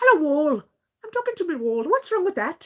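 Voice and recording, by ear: Using a put-on character voice, a woman speaks at an extremely high pitch with very wide pitch swings and a fairly quick pace.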